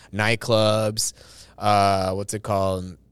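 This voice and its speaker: This man speaks with an American accent and a fairly low pitch. The recording is very clean, with a silent background. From US West Coast, East Los Angeles. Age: 30s. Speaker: stand-up comedian. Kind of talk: casual chat. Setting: studio.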